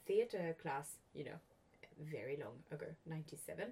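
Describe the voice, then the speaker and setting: Somewhat breathy and fairly low in pitch, a woman's voice has a dark, mellow tone. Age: 40s. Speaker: podcast host. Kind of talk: casual interview conversation.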